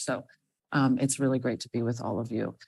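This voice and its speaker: Against a quiet background, a woman speaks with a very deep, low pitch and monotone, flat intonation. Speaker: government official. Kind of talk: opening remarks. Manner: loud.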